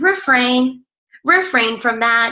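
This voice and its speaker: A woman speaks with an energetic tone. Her intonation is lively. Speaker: fitness coach team leader. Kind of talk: team training call. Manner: fast; casual, energetic.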